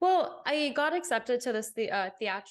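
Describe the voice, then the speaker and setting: A woman with an American accent at a fairly quick pace. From England and Botswana. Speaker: podcast host, actress. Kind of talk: casual chat.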